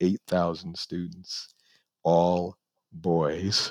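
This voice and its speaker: A man with an American accent and a very deep, low pitch, dry and close with no echo, against a quiet background. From New York (the Bronx). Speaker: lawyer. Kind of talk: interview. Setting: video call. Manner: soft-spoken.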